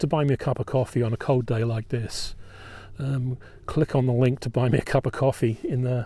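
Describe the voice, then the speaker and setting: Speaking with an English accent, a man has a dark, mellow tone, a somewhat breathy sound and a medium pitch at a moderate pace. The recording is very clean, with a silent background. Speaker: battlefield tour guide. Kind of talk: live-streamed outdoor tour talk. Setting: outdoors on a battlefield. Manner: halting, many ums. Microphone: new microphone.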